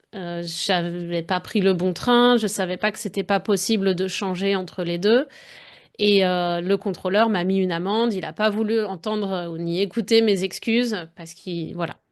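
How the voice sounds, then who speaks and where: The speaker is a woman whose intonation is fairly even. She talks at a fairly slow pace. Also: quiet background. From France. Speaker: French language coach. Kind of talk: podcast monologue. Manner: conversational, addresses listener directly.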